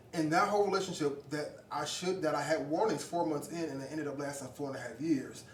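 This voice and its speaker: Pitch varies in an ordinary way. There is audible echo in the room and noticeable noise behind the voice. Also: man. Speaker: podcast guest. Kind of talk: casual chat.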